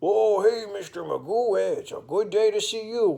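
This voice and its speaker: A man puts on a character voice, high in pitch. He keeps a moderate pace, and his loudness swings widely. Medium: read story. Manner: cheerful, friendly.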